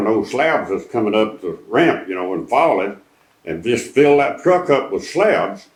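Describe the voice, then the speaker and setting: At a moderate pace, a man with a medium-pitched voice speaks with very wide pitch swings. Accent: East Texas. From East Texas. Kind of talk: interview answer. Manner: folksy storytelling.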